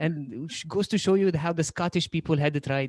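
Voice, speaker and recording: A man with a high-pitched voice speaks fairly quickly in a dry, close sound with no echo on a very clean recording with a silent background. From Egypt. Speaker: stand-up comedian. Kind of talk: stand-up.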